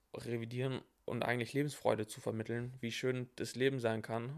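The man's intonation is monotone and flat, his pitch medium, his pace moderate. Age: 20s. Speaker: online fitness coach. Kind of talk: casual chat.

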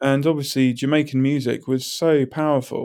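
Recorded very cleanly against a silent background, a man with a southern English accent and a fairly high pitch speaks at a fairly slow pace with fairly even intonation. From southern England, High Wycombe. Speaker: illustrator. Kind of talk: casual chat.

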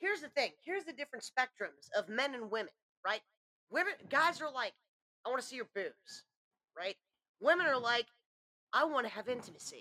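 A woman with a high, bright, sharp voice projects it loudly at a fairly quick pace, with very wide pitch swings, big swings in loudness and long, frequent pauses, in a dry, close sound with no echo. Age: 30s. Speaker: podcast co-host and storyteller. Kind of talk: casual storytelling chat.

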